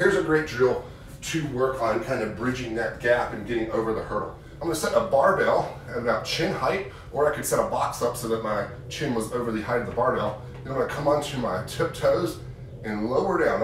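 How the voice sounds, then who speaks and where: A fairly quick male voice amid light background noise and audible room echo. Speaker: physical therapist coach. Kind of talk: tutorial. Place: gym. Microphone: camera far.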